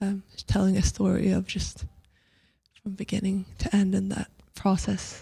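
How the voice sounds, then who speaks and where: A woman speaks at a fairly slow pace in a medium-pitched, somewhat breathy voice with a dark, mellow tone. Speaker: singer-songwriter. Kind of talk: radio interview. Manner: hesitant, many fillers.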